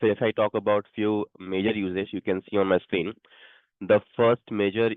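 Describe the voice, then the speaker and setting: A man with an Indian accent speaks at a moderate pace and a fairly low pitch, with monotone, flat intonation. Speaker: stock market presenter. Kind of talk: investment presentation. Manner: halting.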